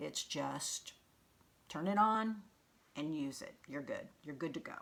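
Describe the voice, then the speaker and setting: At a moderate pace, a woman talks with a fairly low pitch and ordinary pitch variation. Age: 60s. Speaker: beauty device seller. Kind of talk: product tutorial. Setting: home video with ring light. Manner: casual, hesitant with fillers.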